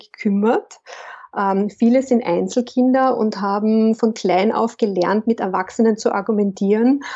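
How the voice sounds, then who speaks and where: This woman has a fairly high pitch and a Carinthian accent. She keeps a moderate pace and fairly even intonation. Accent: Carinthian Austrian German. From Austria, Carinthia. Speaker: business consultant and coach. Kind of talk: interview.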